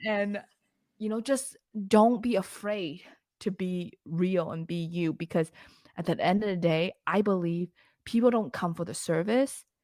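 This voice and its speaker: A woman's medium-pitched voice, dark and mellow in tone, at a fairly slow pace with long, frequent pauses and ordinary pitch variation, on a very clean recording with a silent background. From immigrant to Canada at fourteen. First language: not English. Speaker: lash business founder. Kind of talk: podcast interview. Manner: casual, conversational.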